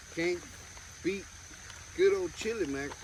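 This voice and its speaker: With noticeable background noise behind him, a man speaks in a lively intonation. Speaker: fishing and camping YouTuber. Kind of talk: casual chat. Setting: outdoors at night campsite. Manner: loud.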